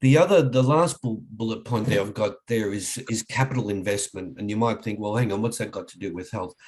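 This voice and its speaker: Speaking with an Australian accent, a man keeps a medium pitch with ordinary pitch variation. His pace is fairly quick, with big swings in loudness. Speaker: leadership trainer. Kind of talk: webinar presentation. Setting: online webinar. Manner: hesitant, many fillers.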